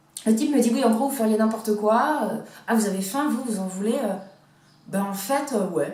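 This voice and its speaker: A woman talks at a moderate pace and fairly high pitch, with ordinary pitch variation and big swings in loudness. Noticeable background noise and audible room echo are present. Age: 40s. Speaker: vlogger. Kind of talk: personal vlog. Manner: halting, many hesitations.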